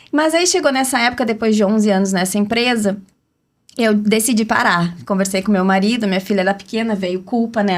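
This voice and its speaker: A woman speaks in a southern Brazilian accent. Her pitch variation is ordinary. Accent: gaúcho southern Brazilian Portuguese. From Rio Grande do Sul, southern Brazil (city of Rio Grande). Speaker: entrepreneur and brand strategist, podcast panel guest. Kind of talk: personal life story in podcast conversation.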